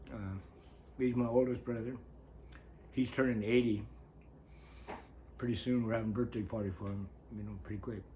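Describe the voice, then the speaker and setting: An American-accented man with a medium pitch and a dark, mellow, somewhat breathy tone talks at a fairly quick pace with fairly even intonation and long, frequent pauses, in audible room echo. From northern California coast. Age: 70s. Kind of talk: interview, life story. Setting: on-camera interview.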